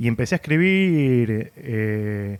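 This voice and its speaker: A man with an Argentine accent is heard on a very clean recording with a silent background. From Argentina, San Isidro near Buenos Aires. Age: middle-aged. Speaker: comic writer and novelist. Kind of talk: casual interview chat. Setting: bar.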